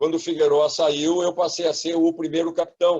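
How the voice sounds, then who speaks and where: His pitch shifts in an ordinary way. The man's voice sits high. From Rio Grande do Sul, Brazil. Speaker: former football coach and pundit. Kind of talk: casual interview.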